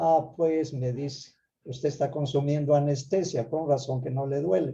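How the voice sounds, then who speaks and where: A man with a dark, mellow tone and a fairly high pitch speaks somewhat breathily at a fairly slow pace with fairly even intonation. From Peru, Ayabaca highlands of Piura. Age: 70s. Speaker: Andean traditional teacher and conference host. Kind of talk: online conference talk. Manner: halting, with many repetitions.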